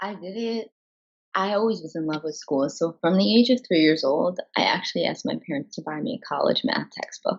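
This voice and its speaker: Vocal fry runs through this voice, which moves at a fairly quick pace with lively intonation. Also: woman. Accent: American. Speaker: aerialist and therapist in training. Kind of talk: podcast interview.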